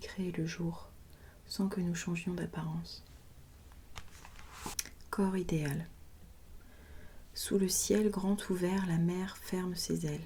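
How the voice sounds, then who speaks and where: Soft-spoken and calm in tone, the speaker goes at a very slow pace. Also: woman. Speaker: ASMR creator. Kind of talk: poetry reading, sleep-inducing ASMR. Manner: soft-spoken, calm.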